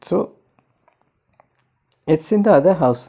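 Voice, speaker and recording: A man's somewhat breathy voice, dark and mellow in tone, at a fairly slow pace. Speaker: astrologer. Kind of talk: monologue. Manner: halting.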